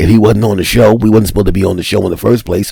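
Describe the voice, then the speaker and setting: A man talks with vocal fry. His pitch sits fairly low. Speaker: comedian. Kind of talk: casual podcast talk.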